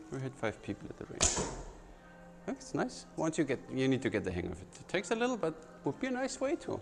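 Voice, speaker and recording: Over music in the background, a man talks at a very fast pace in a fairly high voice with very wide pitch swings. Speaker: archery instructor and gear reviewer. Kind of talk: product review demo. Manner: casual, animated.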